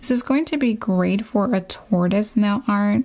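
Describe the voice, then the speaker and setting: The voice is somewhat breathy with a dark, mellow tone, moving at a fairly slow pace with ordinary pitch variation. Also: woman. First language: Spanish. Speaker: nail artist and educator. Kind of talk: product review tutorial. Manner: casual, chatty.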